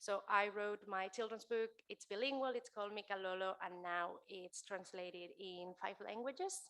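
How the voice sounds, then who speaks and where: A woman speaks at a moderate pace in a medium pitch, her tone bright and sharp. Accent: Spanish. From Spain. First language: Spanish. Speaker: keynote speaker, author and entrepreneur. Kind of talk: keynote talk. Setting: stage with live audience, also streamed.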